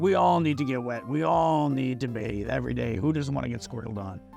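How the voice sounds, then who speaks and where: Over clear background music, a man does a cartoonish character voice at medium pitch and a fairly quick pace. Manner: brash, enthusiastic.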